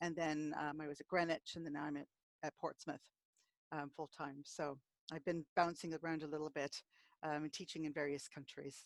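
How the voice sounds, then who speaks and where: A woman with an American accent, very deep and low in pitch, fairly quick yet with long, frequent pauses, monotone and flat, in a dry, close sound with no echo and a very clean recording against a silent background. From Alaska, USA. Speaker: historian. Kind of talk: lecture; casual chat. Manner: halting, many fillers.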